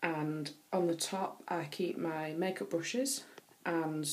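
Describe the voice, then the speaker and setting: In a northern English accent, a woman with a fairly low pitch speaks with ordinary pitch variation amid audible room echo. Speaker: beauty vlogger. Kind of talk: casual show-and-tell vlog. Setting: bathroom. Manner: hesitant, many fillers.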